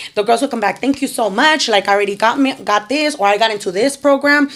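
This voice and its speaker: A woman at a very fast pace, with ordinary pitch variation. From Chicana, Mexican-American. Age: 30s. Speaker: nonprofit founder, formerly incarcerated. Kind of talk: podcast interview answer. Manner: energetic, upbeat.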